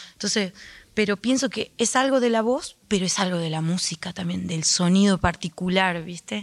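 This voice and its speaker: A woman talks at a moderate pace in a normal speaking voice, with ordinary pitch variation. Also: medium pitch for a woman. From Argentina, Andalgalá, Catamarca. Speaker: folk singer. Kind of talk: radio interview. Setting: radio studio auditorium.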